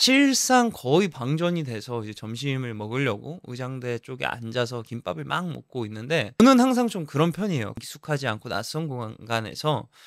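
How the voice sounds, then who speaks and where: A man speaks at a moderate pace in a slight Jeju accent, his pitch medium and his tone animated with lively intonation. He barely pauses, and the recording is very clean with a silent background. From Jeju as small child, then Ilsan near Seoul. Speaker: actor and vlogger. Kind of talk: vlog storytelling.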